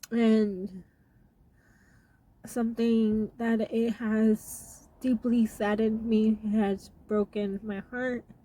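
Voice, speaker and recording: A woman's somewhat breathy, fairly high voice with a dark, mellow tone, at a very slow pace in monotone, flat intonation. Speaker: YouTuber. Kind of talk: casual vlog talk. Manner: halting, many fillers.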